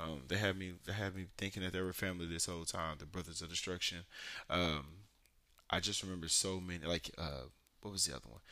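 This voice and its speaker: Very fast and fairly even in intonation, a man speaks at a very deep, low pitch with a bright, sharp tone and vocal fry. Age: 30s. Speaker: anime podcast host. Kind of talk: solo casual podcast talk. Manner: casual, filler-heavy with frequent ums.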